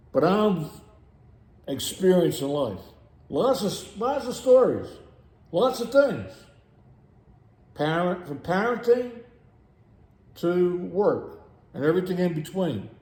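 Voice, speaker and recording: Room echo is audible as a man speaks very slowly at a high pitch, with very wide pitch swings and long, frequent pauses. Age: 60s. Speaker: video blogger. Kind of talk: rant. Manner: animated.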